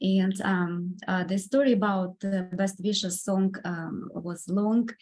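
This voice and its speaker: A woman with a Russian accent speaks at a very slow pace and medium pitch. Her intonation stays fairly even. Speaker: composer and pianist. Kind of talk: podcast interview. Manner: halting, many fillers.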